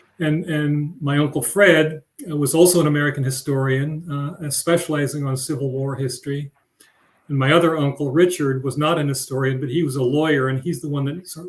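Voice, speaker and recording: A man with a fairly high pitch speaks at a fairly quick pace. His voice is somewhat breathy, and his intonation stays fairly even. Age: 70s. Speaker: family member of museum founders. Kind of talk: panel discussion. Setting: live stream video event. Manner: halting.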